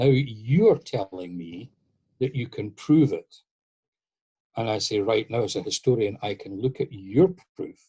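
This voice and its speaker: A man with a Scottish accent, medium pitch and a dark, mellow tone, somewhat breathy, at a moderate pace, in a dry, close sound with no echo. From Scotland. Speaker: masonic historian lecturer. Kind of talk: lecture Q&A answer.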